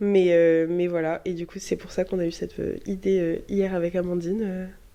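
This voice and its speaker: This woman's voice has a dark, mellow tone and fairly low pitch, delivered in a monotone, flat intonation at a moderate pace with big swings in loudness. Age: 20s. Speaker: medical student. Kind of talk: casual chat. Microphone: too far from the mic at first.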